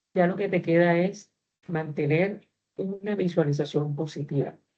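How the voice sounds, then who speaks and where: Her voice is a plain, everyday voice, a woman's, fairly low in pitch with fairly even intonation. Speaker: university teacher. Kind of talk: online class lecture.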